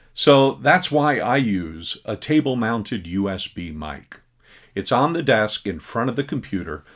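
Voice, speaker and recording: Over a silent background in a very clean recording, a man talks at a fairly slow pace with vocal fry and very wide pitch swings. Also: medium pitch for a man. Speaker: teacher. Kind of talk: recorded presentation. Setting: recorded at computer desk. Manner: loud when teaching. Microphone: desk USB mic close to the speaker.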